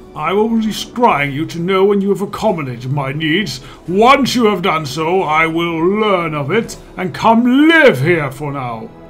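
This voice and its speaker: With clear music in the background, a man speaks at a moderate pace in a high pitch, his intonation lively. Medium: game stream. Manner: pompous, condescending.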